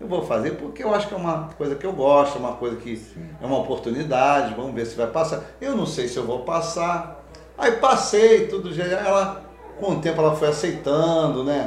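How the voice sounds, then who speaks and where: A man with a fairly high voice talks at a moderate pace with lively intonation. Audible room echo and noticeable background noise surround him. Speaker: police officer. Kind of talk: casual interview.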